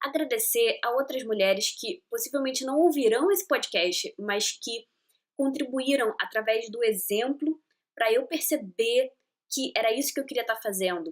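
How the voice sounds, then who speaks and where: Her voice is high-pitched and enthusiastic, with lively intonation. This woman keeps a moderate pace. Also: very clean recording, silent background. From Rio de Janeiro, Brazil. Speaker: podcast host. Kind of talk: casual podcast monologue. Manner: chatty, enthusiastic.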